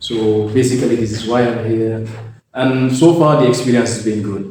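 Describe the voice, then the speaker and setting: A man with a Gambian accent talks at a moderate pace in a medium-pitched, somewhat breathy voice with a dark, mellow tone. His intonation is fairly even, and audible room echo surrounds him. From The Gambia, West Africa. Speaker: engineering student. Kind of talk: interview. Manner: hesitant, many fillers.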